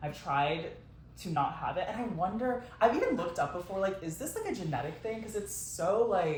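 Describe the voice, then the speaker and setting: There is noticeable background noise and audible room echo. A man with a high pitch speaks at a moderate pace with lively intonation. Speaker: podcast co-host. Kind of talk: casual chat.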